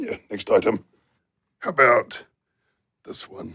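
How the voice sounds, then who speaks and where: A raspy, put-on character voice speaks at a fairly slow pace. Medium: puppet. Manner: upbeat, encouraging.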